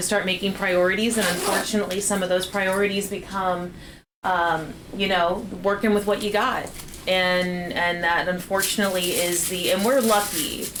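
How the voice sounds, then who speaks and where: At a moderate pace and medium pitch, a woman speaks with fairly even intonation, amid noticeable background noise and audible room echo. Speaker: parent and partner of the cooking show host. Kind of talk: casual livestream chat.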